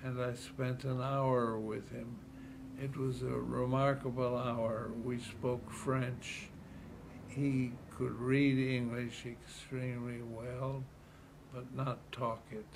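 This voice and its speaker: Amid noticeable background noise and audible room echo, a man speaks very slowly in a monotone with flat intonation. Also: medium pitch for a man. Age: 80s+. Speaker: retired city politician. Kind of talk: interview.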